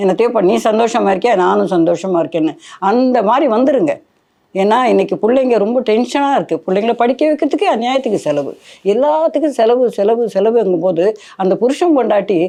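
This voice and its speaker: A woman's fairly high voice, dark and mellow in tone, with lively intonation and very even loudness. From Kumbakonam, Tamil Nadu. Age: 70s. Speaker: saree weaver and entrepreneur. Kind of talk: life story interview.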